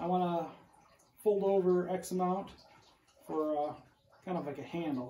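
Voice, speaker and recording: A man talks at a moderate pace in a high voice with ordinary pitch variation. Light background noise and audible room echo surround him. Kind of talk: casual tutorial narration. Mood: relaxed, joking. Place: workshop. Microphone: phone near.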